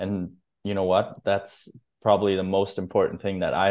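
A man with a German accent speaks in a very deep, low voice. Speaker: podcast host. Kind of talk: casual interview.

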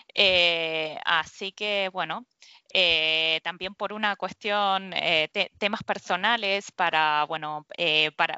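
Her pitch is fairly low for a woman. Her intonation stays fairly even. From Argentina, Mar del Plata. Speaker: structural engineer. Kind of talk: interview. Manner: halting.

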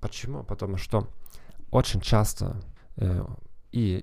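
A man with a dark, mellow tone, moderate pace, and ordinary pitch variation. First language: German (speaking Russian). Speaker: psychologist and language teacher hosting a podcast. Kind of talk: podcast monologue. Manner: halting with fillers and self-corrections.

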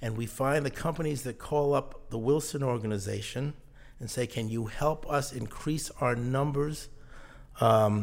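A man with an American accent talks at a moderate pace and medium pitch, with ordinary pitch variation. It is an ordinary speaking voice. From southern New England (Mystic, Connecticut). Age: 60s. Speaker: leadership and management consultant. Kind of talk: interview.

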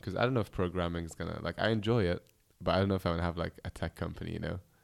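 A man's very deep, low voice at a very fast pace, with fairly even intonation, in a very clean recording with a silent background. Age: 20s. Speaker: podcast co-host, programmer. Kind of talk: casual chat.

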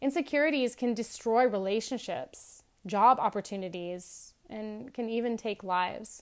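Using a normal speaking voice, a woman speaks at a moderate pace in a fairly high pitch with ordinary pitch variation, on a very clean recording with a silent background. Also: hardly any pauses. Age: 40s. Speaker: wellness podcast host. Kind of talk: solo reflective monologue.

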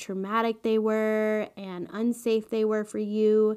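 A woman speaks at a fairly high pitch and a fairly slow pace, her intonation monotone and flat. The recording is very clean, with a silent background. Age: 20s. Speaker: podcast host and labor and delivery nurse. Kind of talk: solo podcast monologue.

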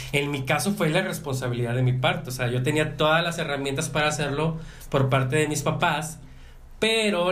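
A man talks at a fairly high pitch and fairly quick pace in a somewhat breathy voice. His pitch varies in an ordinary way, and room echo is audible. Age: 30s. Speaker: podcast host. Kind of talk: casual chat. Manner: halting.

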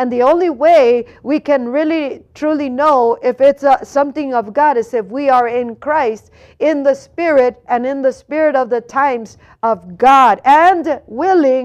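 Against a quiet background, a woman with an American accent speaks at a fairly slow pace in a high voice. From California, US. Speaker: preacher. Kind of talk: sermon. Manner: earnest, exhortative preacher's delivery with pleading urgency; halting, self-correcting with repeated words and fillers.

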